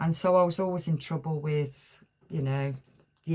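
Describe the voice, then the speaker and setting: A woman with an English accent speaks at a fairly slow pace in a very deep, low pitch. Her voice is somewhat breathy, with fairly even intonation. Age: 60s. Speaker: tarot reader. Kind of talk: spiritual talk to camera. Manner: halting.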